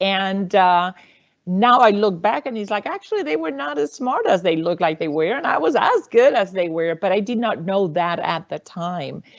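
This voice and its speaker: A woman with a Puerto Rican accent speaks at a moderate pace. Her medium-pitched voice has lively intonation. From Puerto Rico, rural countryside. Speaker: university faculty member, panelist. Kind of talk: panel discussion.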